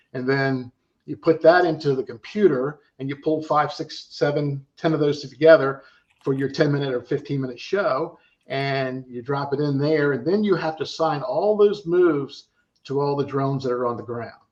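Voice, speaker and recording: This man has a normal speaking voice at a fairly high pitch, with ordinary pitch variation. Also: moderate pace. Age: 60s. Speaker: drone pilot and drone show operator. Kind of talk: casual podcast interview.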